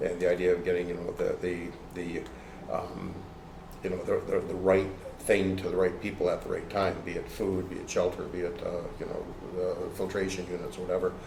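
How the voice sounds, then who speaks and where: Noticeable background noise and audible room echo surround a man who talks at a fairly quick pace. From Toronto, Canada. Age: 60s. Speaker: martial arts instructor and aid worker. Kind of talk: interview conversation. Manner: halting, many fillers and repeats.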